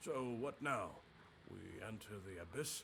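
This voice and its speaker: A man's raspy, put-on character voice at medium pitch, fairly slow, with clear background noise. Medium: video game.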